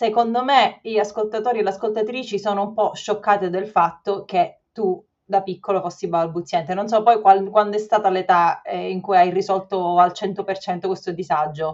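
A woman talks at a moderate pace. She has a plain, everyday voice. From Sicily. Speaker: podcast host. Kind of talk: casual interview. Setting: video call.

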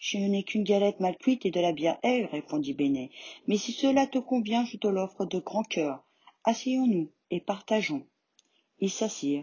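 A woman with very wide pitch swings and a somewhat breathy voice. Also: medium pitch for a woman, moderate pace. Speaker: storyteller reading a tale aloud. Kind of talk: fairy-tale audiobook reading for children, scripted narration.

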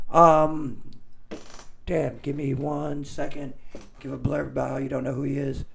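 In a room with audible echo, a fairly high-pitched man with vocal fry talks slowly and flatly in a monotone at a fairly slow pace, with long, frequent pauses. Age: 20s. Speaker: podcast co-host. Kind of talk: casual chat.

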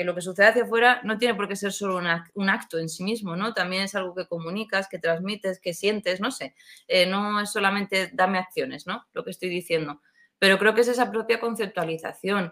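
A woman's bright, sharp tone at a fairly quick pace, with fairly even intonation. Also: medium pitch for a woman. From Seville, Spain. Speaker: innovation and design strategist. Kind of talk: casual interview chat.

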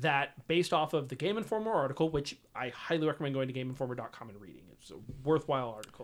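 At a fairly quick pace, a man speaks in an ordinary speaking voice with lively intonation. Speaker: podcast host. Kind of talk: casual chat about video games.

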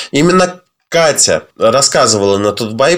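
An ordinary speaking voice with lively intonation comes at a fairly slow pace on a very clean recording with a silent background. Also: man. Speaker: podcast co-host. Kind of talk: news reading.

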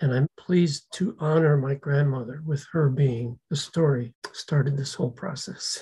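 Speaking at a fairly slow pace, a man uses a normal speaking voice that sits fairly high in pitch and varies in an ordinary way. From US, Slovak-American community. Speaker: descendant sharing family history. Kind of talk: interview.

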